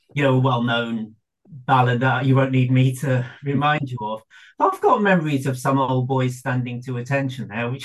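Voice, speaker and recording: Somewhat breathy, a man of medium pitch talks at a moderate pace in a fairly even tone. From Birmingham, England (Irish family). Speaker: academic and novelist. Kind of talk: interview.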